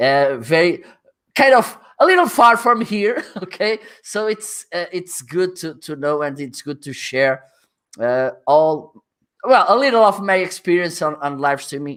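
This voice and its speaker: An animated man with a Portuguese accent speaks in a high pitch at a fairly slow pace, with very wide pitch swings and big swings in loudness. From northern Portugal. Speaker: livestreaming expert. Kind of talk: interview. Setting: livestream.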